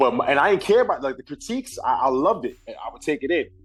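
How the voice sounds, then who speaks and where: A man talks with a New York accent. Music plays in the background. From Brooklyn, New York. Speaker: rapper and singer. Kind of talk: casual interview.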